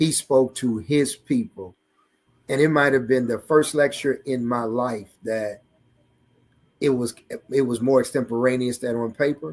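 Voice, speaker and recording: With an American accent, a man talks at a fairly slow pace in a medium pitch, leaving long, frequent pauses. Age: 60s. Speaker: student minister. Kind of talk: testimony. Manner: animated.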